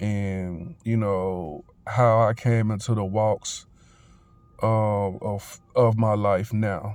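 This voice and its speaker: On a very clean recording with a silent background, a man speaks at a fairly low pitch. His intonation stays fairly even. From Memphis, Tennessee (US South). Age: 30s. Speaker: vlogger. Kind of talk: testimony. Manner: casual, halting with many fillers.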